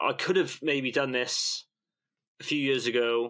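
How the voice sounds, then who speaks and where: Very slowly, a man with a medium pitch speaks in a bright, sharp tone with ordinary pitch variation. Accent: British. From UK. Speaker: newsletter founder and investor. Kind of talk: podcast interview. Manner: rambling, loosely structured speech.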